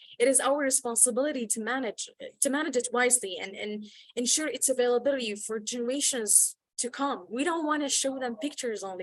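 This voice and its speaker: A woman speaks in a high voice. Her pace is very fast. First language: not English. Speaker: youth activist. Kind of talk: panel discussion. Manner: halting, many repeated words.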